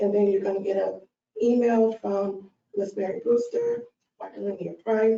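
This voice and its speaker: Here a woman is soft-spoken. She keeps to a moderate pace. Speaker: early learning program staff. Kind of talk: work meeting presentation. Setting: conference meeting.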